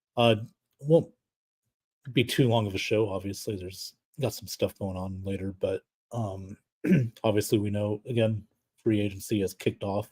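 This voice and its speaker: A man speaks with long, frequent pauses, fairly even intonation and big swings in loudness. His somewhat breathy voice sounds dry and close, without echo. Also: fairly low pitch for a man, moderate pace. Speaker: sports talk show host. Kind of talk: live solo sports talk stream. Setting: live stream. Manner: casual, many filler words.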